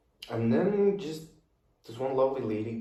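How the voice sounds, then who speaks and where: With ordinary pitch variation, a man talks at a moderate pace, and audible room echo hangs around his words. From Kazakhstan. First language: Russian and Kazakh. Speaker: podcast guest, young finance professional. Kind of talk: casual interview chat. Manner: hesitant with fillers.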